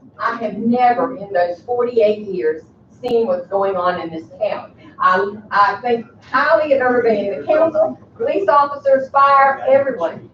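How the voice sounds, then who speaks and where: A woman speaks at a moderate pace with a high pitch and lively intonation. Noticeable background noise runs behind her. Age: 70s. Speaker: resident speaking at council meeting. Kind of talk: public comment at council meeting. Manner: animated.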